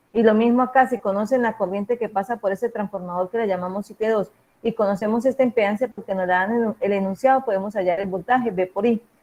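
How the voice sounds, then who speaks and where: A woman with a fairly high pitch talks at a very fast pace with fairly even intonation and hardly any pauses. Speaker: university lecturer in electrical engineering. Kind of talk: lecture. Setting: video call.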